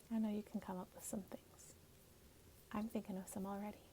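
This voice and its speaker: A woman's soft-spoken, somewhat breathy whisper at a moderate pace. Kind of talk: ASMR comforting talk. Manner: soft-spoken, whispered.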